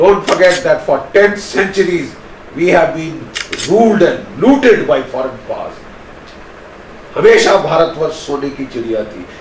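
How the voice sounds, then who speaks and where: Against noticeable background noise, a man with a high pitch speaks fairly slowly, his pitch swinging very widely, with long, frequent pauses. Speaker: retired army major general and strategic analyst. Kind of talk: motivational address to youth, speech to camera. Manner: earnest, forceful, emphatic.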